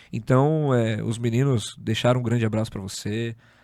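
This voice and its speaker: Speaking at a medium pitch, a man keeps his intonation fairly even. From São Paulo, Zona Norte. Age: 30s. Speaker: podcast host. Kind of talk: casual interview chat.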